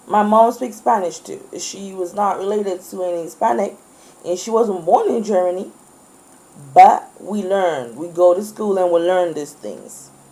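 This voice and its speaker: A woman speaks at a moderate pace in an animated tone, her loudness swinging widely over noticeable background noise. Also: medium pitch for a woman, ordinary pitch variation. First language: French. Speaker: student. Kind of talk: video monologue rant.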